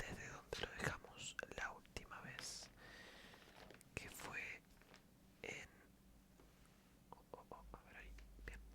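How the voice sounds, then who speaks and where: A calm, whispered voice moves at a very slow pace, broken by long, frequent pauses. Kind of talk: casual greeting to viewers. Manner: soft, calm.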